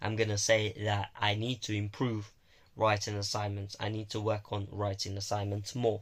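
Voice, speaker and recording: Somewhat breathy and flat in intonation, a man with a fairly low pitch speaks at a moderate pace in a very clean recording with a silent background. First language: Romanian. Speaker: university student vlogger. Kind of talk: casual vlog monologue. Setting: alone in own room. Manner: halting.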